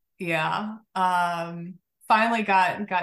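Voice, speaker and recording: A woman with an American accent speaks in a normal speaking voice, with ordinary pitch variation against a quiet background. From Oklahoma, US. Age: 40s. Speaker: physical therapist. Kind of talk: casual interview.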